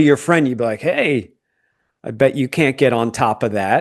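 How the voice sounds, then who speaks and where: A man talks at a fairly quick pace in an unremarkable speaking voice. The background is quiet. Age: 50s. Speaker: podcast host. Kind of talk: casual chat.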